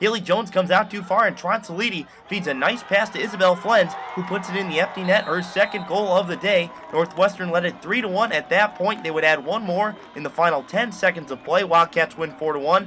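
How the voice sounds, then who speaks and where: Projecting a raised, high voice at a fairly quick pace with hardly any pauses and ordinary pitch variation, a man speaks over noticeable background noise. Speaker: sports broadcaster, highlight voiceover. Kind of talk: sports highlight voiceover.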